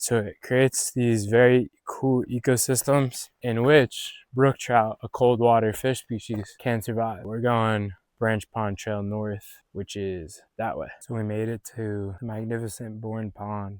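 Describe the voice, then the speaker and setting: A man with an unremarkable speaking voice and medium pitch talks fairly slowly with fairly even intonation and hardly any pauses, the sound dry and close with no echo on a very clean recording with a silent background. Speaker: outdoor vlogger. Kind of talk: solo outdoor vlog narration. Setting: outdoors in the wilderness by a pond. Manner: casual, relaxed.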